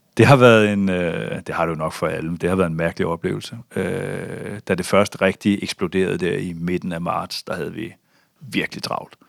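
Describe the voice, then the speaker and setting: His voice is very deep and low, with ordinary pitch variation at a moderate pace. The man sounds dry and close, with no echo. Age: 40s. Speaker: bank chief strategist. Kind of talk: interview. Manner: hesitant, many fillers.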